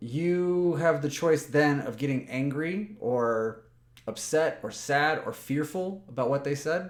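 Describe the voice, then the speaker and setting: At a very slow pace, a man with a fairly high pitch speaks using ordinary pitch variation. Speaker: personal development vlogger. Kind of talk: motivational talk to camera. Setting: webcam recording. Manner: loud; halting, with repetitions.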